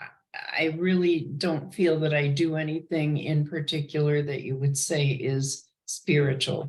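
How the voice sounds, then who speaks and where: The voice has a somewhat breathy quality. It moves at a very slow pace. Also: woman. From US Midwest, Chicago. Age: 80s+. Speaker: retired business analyst. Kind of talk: casual interview chat. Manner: halting.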